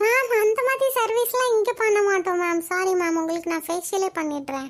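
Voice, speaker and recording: A woman uses a cartoonish character voice with extremely high pitch and lively intonation. Her pace is fairly slow. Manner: polite, salesy, Tanglish.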